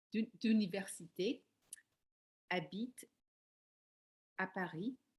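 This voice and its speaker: A woman speaks very slowly. Her voice is somewhat breathy. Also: medium pitch for a woman, ordinary pitch variation. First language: English (speaking French). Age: 60s. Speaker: life coach learning French. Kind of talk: language practice self-introduction. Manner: halting, with hesitations and self-corrections.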